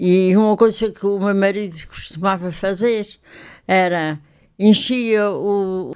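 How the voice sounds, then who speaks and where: The delivery is very slow with fairly even intonation, in a very clean recording with a silent background. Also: woman, medium pitch for a woman. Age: 80s+. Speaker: retired photographer. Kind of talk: interview.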